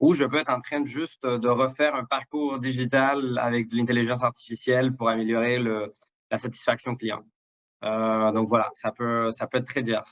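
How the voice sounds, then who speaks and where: A man's medium-pitched voice, flat and monotone, at a moderate pace, with a dry, close sound and no echo. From Mexico. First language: Spanish (speaking French). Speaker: sales director. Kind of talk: interview. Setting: live stream. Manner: halting, many fillers and repetitions.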